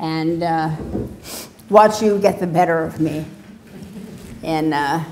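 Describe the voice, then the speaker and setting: Amid audible room echo, a woman with a fairly low pitch speaks very slowly, her intonation fairly even and her pauses long and frequent. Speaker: professor. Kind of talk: Q and A; lecture.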